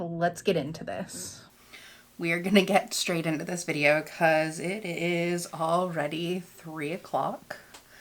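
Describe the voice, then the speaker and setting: This woman's voice sits fairly low in pitch, with fairly even intonation. She talks at a fairly slow pace against noticeable background noise. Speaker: beauty vlogger. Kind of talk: casual talk to camera.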